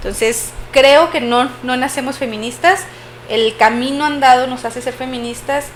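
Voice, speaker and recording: A woman with a northern Mexican accent speaks at a moderate pace in a high voice. Her intonation stays fairly even, with noticeable background noise. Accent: northern Mexican (Chihuahua). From Chihuahua, northern Mexico. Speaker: podcast host. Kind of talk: casual podcast conversation. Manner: frequent filler hesitations.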